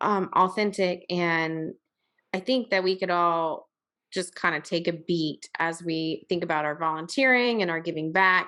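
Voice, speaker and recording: This woman has a fairly low pitch, a bright, sharp tone and a slight Southern US accent. She speaks at a fairly slow pace with ordinary pitch variation, and the recording is very clean with a silent background. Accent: slightly Southern. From Virginia. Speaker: podcast host. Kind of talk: podcast interview.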